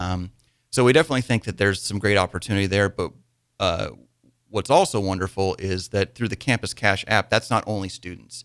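A man with a Midwestern American accent talks at a fairly quick pace, fairly low in pitch with ordinary pitch variation. The recording is very clean with a silent background, the sound dry and close with no echo. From Nebraska, small town. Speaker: small business owner. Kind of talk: radio interview. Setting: studio.

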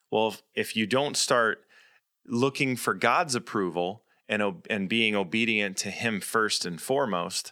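A man's ordinary speaking voice at a medium pitch and moderate pace, in a very clean recording with a silent background. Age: 30s. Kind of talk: personal testimony and devotional talk.

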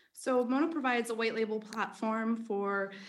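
Noticeable background noise sits under a woman speaking with an American accent. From Philadelphia. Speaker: podcast guest, chief marketing officer. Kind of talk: business.

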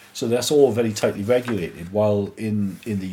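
There is noticeable background noise behind a man speaking at a fairly low pitch. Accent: English. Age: 40s. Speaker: church podcast co-host. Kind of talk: casual chat.

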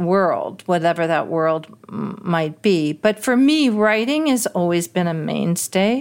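A woman with an American accent talks at medium pitch and a fairly slow pace. Hers is an unremarkable speaking voice. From New York City. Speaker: singer, composer and author. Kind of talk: interview.

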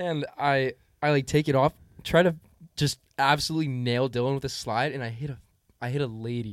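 With an ordinary speaking voice at medium pitch, a man talks at a fairly quick pace in fairly even intonation. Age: 20s. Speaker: guest. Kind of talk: casual chat.

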